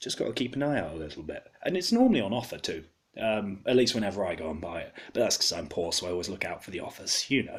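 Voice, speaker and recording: A man's very fast speech with an English accent. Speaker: beer reviewer. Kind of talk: product review.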